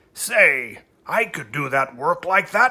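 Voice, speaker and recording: A man's raspy, put-on character voice, high-pitched and at a fairly slow pace. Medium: read story.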